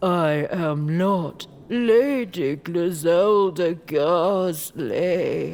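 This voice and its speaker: This put-on character voice sits at a middle pitch and moves at a very slow pace. It runs on with hardly any pauses. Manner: put-on impression.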